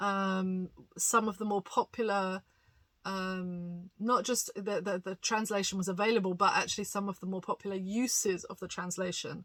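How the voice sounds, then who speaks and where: With a British accent, a woman at medium pitch speaks at a moderate pace in a bright, sharp tone, recorded very cleanly with a silent background. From England. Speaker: pastor and bible reviewer. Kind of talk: casual review monologue. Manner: hesitant, many fillers.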